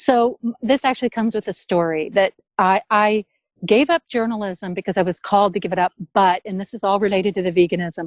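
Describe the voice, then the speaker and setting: In a very clean recording with a silent background and a dry, close sound with no echo, a woman with an American accent and a normal speaking voice talks at a fairly quick pace, at medium pitch with ordinary pitch variation. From US Midwest. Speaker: artist, writer and former journalist. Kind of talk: interview.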